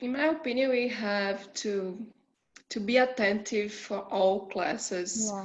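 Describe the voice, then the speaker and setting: With a Portuguese accent, a woman speaks very slowly at a fairly high pitch with ordinary pitch variation. Audible room echo is present. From Brazil. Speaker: international student. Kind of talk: virtual Q&A session. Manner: halting.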